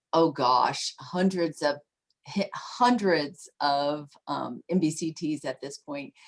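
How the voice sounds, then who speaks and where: Delivery is at a very slow pace with ordinary pitch variation. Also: woman. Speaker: teacher trainer. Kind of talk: online workshop presentation.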